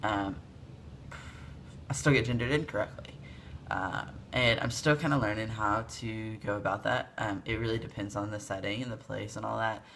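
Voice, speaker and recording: A man with a fairly low pitch, a bright, sharp tone and vocal fry speaks with ordinary pitch variation and long, frequent pauses. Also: moderate pace. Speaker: video blogger. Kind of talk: casual vlog update. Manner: casual, many fillers.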